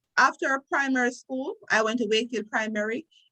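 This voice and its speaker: A woman speaks with a Jamaican accent in a bright, sharp tone. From Jamaica, Trelawny parish. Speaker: lawyer. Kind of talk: interview.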